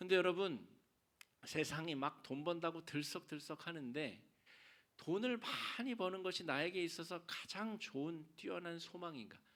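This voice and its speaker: Ordinary pitch variation marks this speech, delivered at a fairly slow pace. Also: man, high pitch for a man. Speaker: pastor. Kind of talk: sermon. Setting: church.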